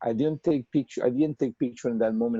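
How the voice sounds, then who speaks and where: In a Spanish accent, a man speaks with a dark, mellow tone and fairly even intonation, the sound dry and close with no echo. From Colombia. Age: 30s. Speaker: portrait artist. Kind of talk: webinar interview. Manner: halting, many repetitions and fillers.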